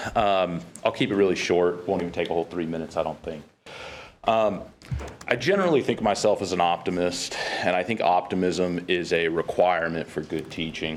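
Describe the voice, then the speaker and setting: A man with a very deep, low voice and an American accent talks at a fairly quick pace with fairly even intonation, noticeable background noise behind him. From Kansas. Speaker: college faculty member. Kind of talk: public comment at board meeting.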